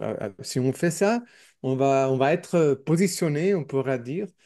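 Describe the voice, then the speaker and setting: Over a quiet background, a man with an English accent speaks very slowly in a dark, mellow tone with lively intonation. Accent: non-native French, English speaker. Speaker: newspaper editor, communist activist. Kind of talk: podcast interview. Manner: halting, many repetitions and hesitations.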